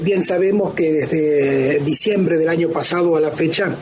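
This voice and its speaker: Fairly slow and fairly even, a man's fairly high voice comes with audible room echo and noticeable background noise. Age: 30s. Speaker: researcher of ancient myths. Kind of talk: radio interview. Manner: hesitant with many fillers.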